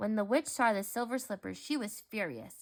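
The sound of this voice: The speaker reads in an unforced voice, and the pitch shifts in an ordinary way.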